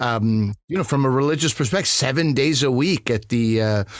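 A man with a Canadian accent speaks at a fairly quick pace in a plain, everyday voice. His pitch is medium with ordinary variation, on a very clean recording with a silent background. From Montreal, Quebec, Canada. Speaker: comedian. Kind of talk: casual chat.

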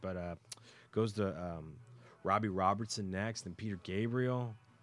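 On a very clean recording with a silent background, a man with an unremarkable speaking voice talks at a fairly slow pace and fairly low pitch, with ordinary pitch variation. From US, raised in Texas. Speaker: music producer. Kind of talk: casual interview. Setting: hotel, live radio.

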